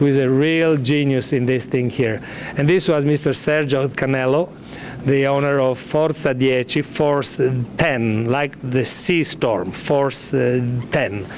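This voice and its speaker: Noticeable background noise runs under the clip. A man with a fairly high pitch talks with fairly even intonation. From Sudan (Khartoum), later Italy. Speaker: former dog musher. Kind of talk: press conference introduction. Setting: press conference. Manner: halting, repeats words.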